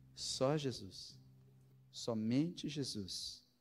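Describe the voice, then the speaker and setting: Ordinary pitch variation with audible room echo. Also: man. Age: 40s. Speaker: pastor. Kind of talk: sermon.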